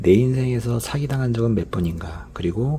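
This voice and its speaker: With very wide pitch swings, a man talks at a moderate pace while noticeable background noise plays behind him. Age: 50s. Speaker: former commercial director, YouTuber. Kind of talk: personal storytelling monologue. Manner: casual, many filler sounds.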